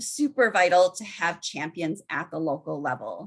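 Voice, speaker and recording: A woman with a Minnesota accent at a moderate pace, her pitch making very wide swings. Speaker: research and evaluation presenter. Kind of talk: webinar presentation. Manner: frequent filler ums.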